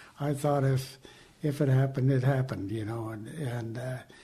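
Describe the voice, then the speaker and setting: Amid audible room echo, a man speaks at a moderate pace with a fairly high pitch and fairly even intonation. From Southern California. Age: 80s+. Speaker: Navy veteran. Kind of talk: interview. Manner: halting.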